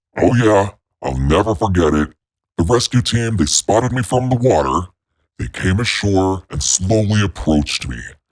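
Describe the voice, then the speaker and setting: A man does a put-on character voice that is very deep and low, at a moderate pace. The recording is very clean, with a silent background. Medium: solo performance. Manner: warm, chatty.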